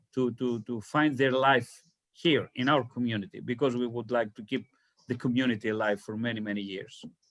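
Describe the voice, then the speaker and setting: Talking at a moderate pace, a man with a Greek accent has a medium pitch. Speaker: community leader. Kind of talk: talk Q&A on a video call. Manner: halting, many repetitions.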